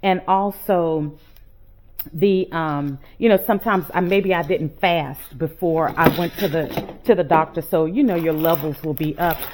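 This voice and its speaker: Speaking with an American accent, a woman uses a plain, everyday voice at a fairly low pitch. She goes at a fairly slow pace with ordinary pitch variation. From Texas. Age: 50s. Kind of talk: casual chat while cooking. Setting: home kitchen.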